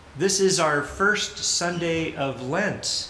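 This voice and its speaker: A man talks with audible room echo and light background noise around him. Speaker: pastor leading worship. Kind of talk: welcome and announcements at a service. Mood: warm, earnest. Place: church.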